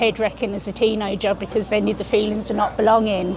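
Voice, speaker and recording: A London accent, with audible room echo and crowd noise in the background. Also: woman. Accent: London accent, kept after thirty years. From London, England. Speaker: interviewee. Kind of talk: interview. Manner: halting, many restarts.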